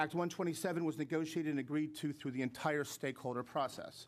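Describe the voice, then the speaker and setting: A fairly high male voice at a very fast pace, with ordinary pitch variation. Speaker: trade association executive. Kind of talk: testimony at legislative hearing. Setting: public hearing room. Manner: formal.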